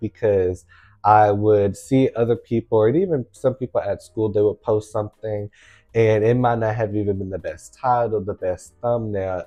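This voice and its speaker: Music plays in the background behind a man speaking at a medium pitch and moderate pace. His intonation is fairly even, and the sound is dry and close with no echo. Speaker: student and YouTuber. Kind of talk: casual talk to camera. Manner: casual, conversational.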